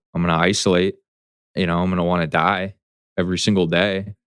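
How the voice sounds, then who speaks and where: A man with an American accent speaks at a very deep, low pitch and a fairly quick pace. The sound is dry and close with no echo, on a very clean recording with a silent background. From south Florida, US. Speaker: person in addiction recovery. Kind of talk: interview testimony. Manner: casual, animated.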